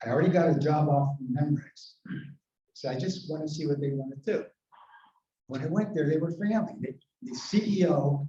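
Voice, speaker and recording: A man speaks at a fairly quick pace with a fairly high pitch. His tone is dark and mellow, and somewhat breathy. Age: 80s+. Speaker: retired sales executive and service club member. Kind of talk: convention speech. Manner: animated.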